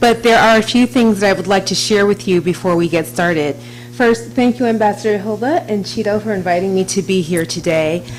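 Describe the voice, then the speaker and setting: A woman with an American accent at a fairly quick pace, her pitch swinging very widely over background music. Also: medium pitch for a woman. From US, Washington DC. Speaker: diplomat. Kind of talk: speech. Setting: stage with audience.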